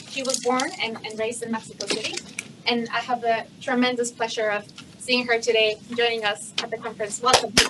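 A woman's fairly high, monotone voice with flat intonation over noticeable background noise. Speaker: conference moderator. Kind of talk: event introductions and Q&A moderation. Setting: conference stage with audience.

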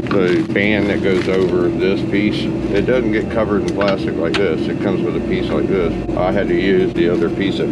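A very fast pace of speech against loud background noise. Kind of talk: casual technical explanation. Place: garage. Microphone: phone near.

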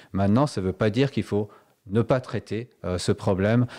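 A man talks with a fairly low pitch and a dark, mellow tone, his intonation fairly even. The recording is very clean, with a silent background. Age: 60s. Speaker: local politician, municipal candidate. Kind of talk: radio interview.

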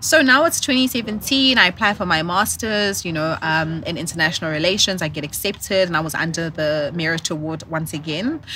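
In a South African accent, the speaker talks at a fairly quick pace with lively intonation. There are hardly any pauses, and light background noise can be heard. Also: woman, fairly low pitch for a woman. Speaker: corporate professional and entrepreneur; podcast guest. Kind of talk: casual interview. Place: garden. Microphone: studio mic.

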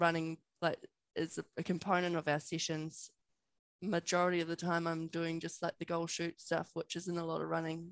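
Against a quiet background, a woman speaks at a moderate pace in a fairly low pitch, her intonation monotone and flat, the sound dry with no echo. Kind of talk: interview answer. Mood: relaxed, friendly. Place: home room. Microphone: headset.

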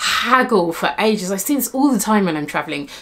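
Spoken at a moderate pace with lively intonation, over faint background noise. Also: woman, fairly bright tone.

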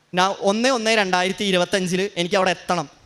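A man's voice with fairly even intonation. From Kerala, Ernakulam. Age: 20s. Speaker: worshipper giving testimony. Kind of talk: testimony.

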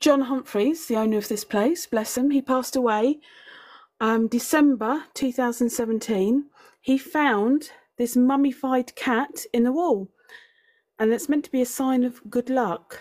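Against a quiet background, a woman with a high voice speaks at a fairly slow pace with ordinary pitch variation. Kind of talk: casual vlog chat. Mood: amused, chatty. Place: home room. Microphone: phone near.

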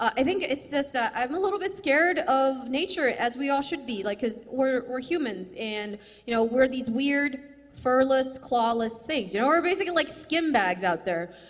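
A woman at a high pitch and moderate pace, with very wide pitch swings. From China, later raised in US Midwest. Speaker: stand-up comedian. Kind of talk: stand-up. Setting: stage with audience. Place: stage. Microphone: handheld.

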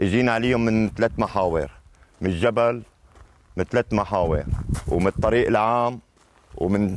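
The speaker has a Latakia accent, a moderate pace, and long, frequent pauses, with very even loudness and ordinary pitch variation. The sound is dry with no echo, over light background noise. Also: man. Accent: Latakia city dialect. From Syria, Latakia; Syria. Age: old. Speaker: rebel fighter. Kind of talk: field interview. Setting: outdoors in a village. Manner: animated, joyful. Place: street. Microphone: camera far.

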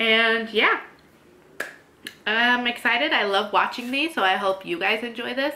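A woman speaks with ordinary pitch variation. Light background noise runs beneath her. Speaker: vlogger. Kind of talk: casual vlog chat. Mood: cheerful, giggly. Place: home room. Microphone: phone near.

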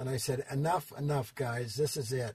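A man with an American accent speaks at a moderate pace in a medium, somewhat breathy voice with monotone, flat intonation. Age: 80s+. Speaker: fitness industry designer and consultant. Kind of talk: interview answer, storytelling. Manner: hesitant, many fillers.

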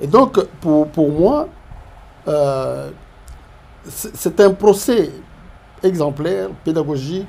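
This man talks at a very slow pace in a fairly high pitch, leaving long, frequent pauses. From DR Congo. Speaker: professor, public finance analyst. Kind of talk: interview. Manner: halting, many hesitations and repetitions. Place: studio.

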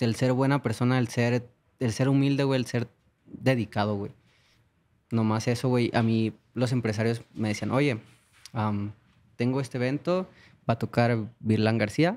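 A man with a Mexican accent at a fairly slow pace, fairly even intonation and long, frequent pauses. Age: 20s. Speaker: singer; guest. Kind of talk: casual chat. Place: studio. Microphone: studio mic.

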